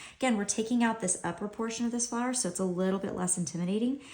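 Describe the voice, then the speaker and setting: Very fast, somewhat breathy speech. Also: woman. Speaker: homeschool art tutor. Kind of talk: tutorial. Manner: casual, relaxed.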